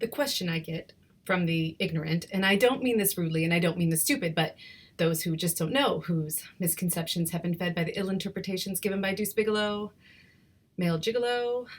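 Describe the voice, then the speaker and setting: A woman talks at a fairly quick pace, her voice somewhat breathy. Her pitch varies in an ordinary way. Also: medium pitch for a woman. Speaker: poet. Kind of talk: spoken word poetry.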